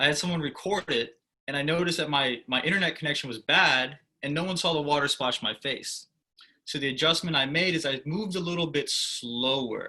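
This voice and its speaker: Loud and animated, a man talks at a fairly quick pace in a fairly high pitch with a bright, sharp tone and ordinary pitch variation. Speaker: humorous speech contest winner. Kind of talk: Q&A answers on video call. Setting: video call. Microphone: no mic, standing far from laptop.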